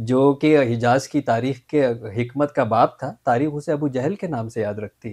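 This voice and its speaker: A man at a fairly slow pace with hardly any pauses, over a quiet background. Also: ordinary pitch variation. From Pakistan, Karachi; Pakistan. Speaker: mental health specialist; interview guest. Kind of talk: interview. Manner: formal. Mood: calm, friendly. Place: studio. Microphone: lapel.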